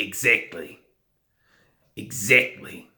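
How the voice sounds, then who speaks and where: A man puts on a raspy character voice. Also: fairly low pitch for a man. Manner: clipped, military.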